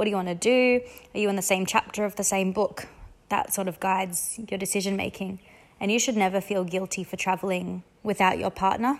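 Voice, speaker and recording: A woman with an Australian accent at medium pitch, fairly quick in pace, with fairly even intonation. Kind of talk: voice message advice. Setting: voice message recording.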